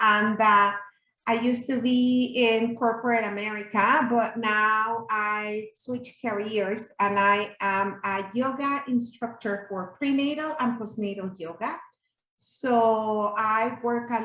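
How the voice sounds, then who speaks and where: At a very slow pace, a woman speaks with a bright, sharp tone, a fairly high pitch and fairly even intonation. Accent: Spanish. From Mexico City. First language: Spanish. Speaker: yoga instructor and doula. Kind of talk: workshop presentation.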